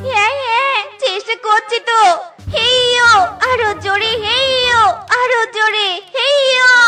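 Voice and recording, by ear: In a cartoonish character voice, a female-sounding speaker talks at a very slow pace with extremely high pitch for a woman, over clear music in the background.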